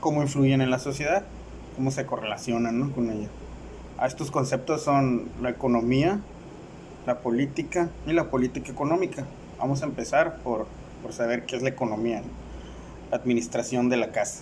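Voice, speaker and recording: At a moderate pace, the speaker leaves long, frequent pauses, and the pitch varies in an ordinary way. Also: man, medium pitch for a man. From Mexicali, Baja California, Mexico. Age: 30s. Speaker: university student. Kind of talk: class presentation. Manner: halting, with fillers and repetitions.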